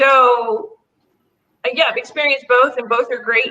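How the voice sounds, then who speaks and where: A woman talks in a high pitch with fairly even intonation. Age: 60s. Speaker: author. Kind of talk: casual chat.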